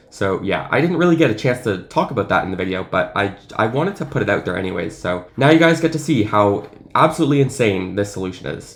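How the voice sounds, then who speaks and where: A man speaks at a medium pitch and a fairly quick pace. His tone is enthusiastic, with very wide pitch swings. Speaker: math video creator. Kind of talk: unscripted casual explainer video.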